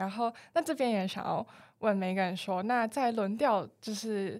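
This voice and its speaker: In a very clean recording with a silent background, a woman uses an ordinary speaking voice at a medium pitch with ordinary pitch variation. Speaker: student podcast host. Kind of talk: interview.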